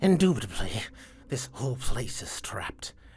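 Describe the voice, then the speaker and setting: A whispered, put-on character voice at a moderate pace. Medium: actual play. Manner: precise, scholarly.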